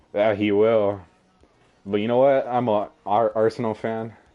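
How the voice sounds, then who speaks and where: A man at a fairly low pitch and fairly slow pace, with music in the background. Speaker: gaming streamer. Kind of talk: live game streaming with excited reactions. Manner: excited, exclaiming.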